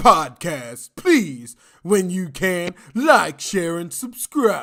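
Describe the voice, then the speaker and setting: In a put-on character voice, a man speaks very slowly at a high pitch with very wide pitch swings. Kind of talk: put-on announcer voice. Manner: smooth, sleazy, exaggerated.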